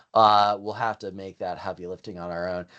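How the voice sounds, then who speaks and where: The speaker has an American accent and an excited tone. The delivery is very fast. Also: man, quiet background. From Ohio, US Midwest. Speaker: Excel instructor. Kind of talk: live online training webinar. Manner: fast, excited.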